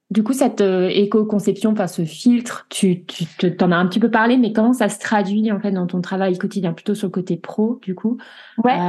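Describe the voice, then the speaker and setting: A woman speaks in a medium-pitched, somewhat breathy voice with a dark, mellow tone. Her intonation is fairly even, and the background is quiet. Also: moderate pace. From France. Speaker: podcast host, community manager. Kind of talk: casual interview; scripted intro.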